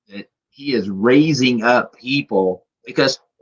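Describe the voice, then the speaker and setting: With an unremarkable speaking voice, a man talks at medium pitch using lively intonation. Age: 60s. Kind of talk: casual interview chat.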